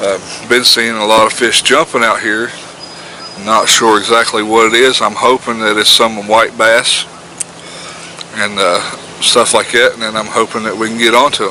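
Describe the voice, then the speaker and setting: Talking at a moderate pace with long, frequent pauses, a man keeps a monotone, flat intonation against noticeable background noise. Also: medium pitch for a man. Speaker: outdoor fishing vlogger. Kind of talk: casual vlog narration. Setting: outdoors by a river. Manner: loud.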